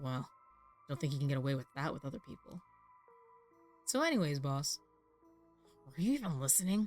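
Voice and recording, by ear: A man puts on a gravelly character voice, fairly high in pitch, at a fairly quick pace. He leaves long, frequent pauses, with faint music in the background.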